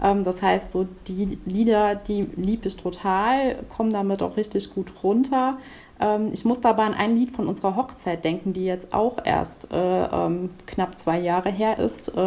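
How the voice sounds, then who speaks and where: Very slow delivery from a woman, medium in pitch with ordinary pitch variation. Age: 30s. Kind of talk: casual interview.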